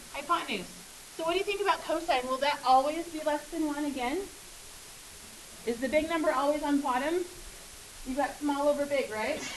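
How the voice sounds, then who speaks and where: Amid audible room echo, a woman with a high pitch and ordinary pitch variation speaks at a fairly quick pace, broken by long, frequent pauses. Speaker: math teacher. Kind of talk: classroom lecture. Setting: classroom. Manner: fast.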